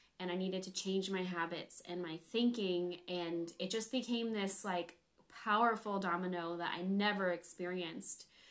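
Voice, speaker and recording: A woman with an American accent speaks at medium pitch and a moderate pace, her intonation fairly even. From California. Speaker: health coach. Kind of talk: casual chat.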